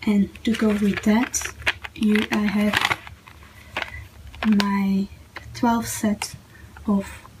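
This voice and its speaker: A woman with a medium-pitched voice speaks very slowly in a flat monotone with very even loudness, taking long, frequent pauses. Noticeable background noise runs underneath. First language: not English. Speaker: YouTuber, planner/journaling hobbyist. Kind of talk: casual tutorial / show-and-tell. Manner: halting, many fillers.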